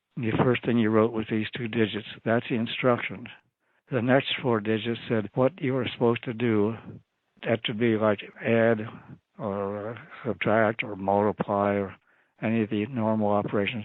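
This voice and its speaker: A man speaks in a medium pitch at a moderate pace. His intonation is monotone and flat. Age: 90s. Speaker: retired FBI agent and cryptanalyst. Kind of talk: interview answer.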